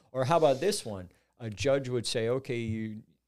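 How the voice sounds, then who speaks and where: In a normal speaking voice, a man with an American accent talks at a moderate pace with ordinary pitch variation on a very clean recording with a silent background. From Southern California, Orange County. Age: 50s. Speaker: recovery advocate, former prisoner. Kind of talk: interview storytelling.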